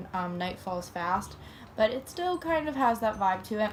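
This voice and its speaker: A woman talks at a medium pace while background noise is clearly noticeable. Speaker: book reviewer. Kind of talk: casual talk to camera.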